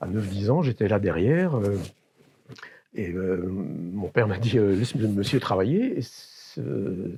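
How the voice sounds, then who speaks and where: A man's fairly low, somewhat breathy voice at a very slow pace, with lively intonation. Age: 60s. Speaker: electronics repairer. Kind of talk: interview; demonstration. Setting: workshop. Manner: hesitant, many fillers.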